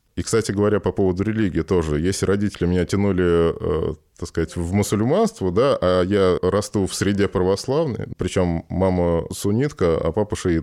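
With a Moscow accent, a man talks at a moderate pace in a very deep, low voice with a dark, mellow tone and ordinary pitch variation. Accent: Moscow Russian. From Moscow, Russia. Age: 30s. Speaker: sculptor. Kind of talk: casual chat.

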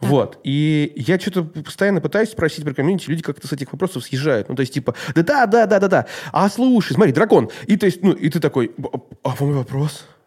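Speaking at a fairly quick pace, a man with a fairly high pitch uses lively intonation over noticeable background noise. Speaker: podcast host. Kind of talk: casual interview chat.

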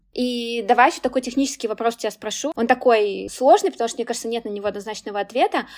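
With ordinary pitch variation, a woman talks in a fairly high voice. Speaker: podcast host and career consultant. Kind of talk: interview conversation. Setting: video call.

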